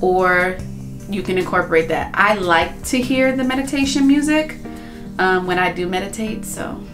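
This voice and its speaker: Over music in the background, a woman speaks with ordinary pitch variation. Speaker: beauty vlogger. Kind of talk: casual vlog chat. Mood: relaxed, calm. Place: bathroom. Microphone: phone near.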